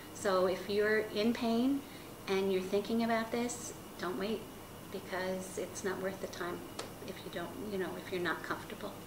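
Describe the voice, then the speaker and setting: A woman speaks at a medium pitch with fairly even intonation and long, frequent pauses. Noticeable background noise and audible room echo fill the recording. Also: moderate pace. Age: 60s. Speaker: patient. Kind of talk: testimony.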